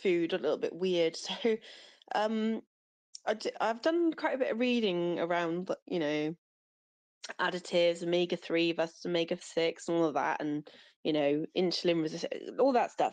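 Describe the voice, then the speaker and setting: Speaking at a moderate pace with long, frequent pauses, a woman with a British accent has a fairly low pitch and ordinary pitch variation. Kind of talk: casual chat. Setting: audio chat space.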